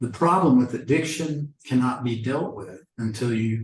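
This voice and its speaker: A man with an American accent speaks at a fairly slow pace, his voice somewhat breathy. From Oklahoma, Seminole. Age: 60s. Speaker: lawyer and addiction awareness speaker. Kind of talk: presentation talk. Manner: conversational with hesitations.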